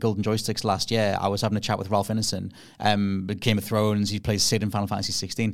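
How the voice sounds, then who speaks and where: In a very clean recording with a silent background, a man with a Geordie accent talks very fast at a fairly low pitch. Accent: Geordie, toned down. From northeast England. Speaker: podcast host, game creator. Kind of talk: casual chat.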